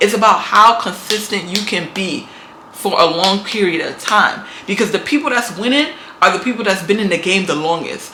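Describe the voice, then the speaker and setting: In a New York accent, the speaker moves at a moderate pace with ordinary pitch variation over noticeable background noise. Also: woman, medium pitch for a woman. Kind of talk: motivational talk to camera. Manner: casual, emphatic.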